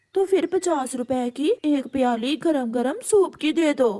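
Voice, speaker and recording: A cartoonish character voice delivers the lines at a moderate pace. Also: female-sounding voice, high pitch for a woman. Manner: demanding.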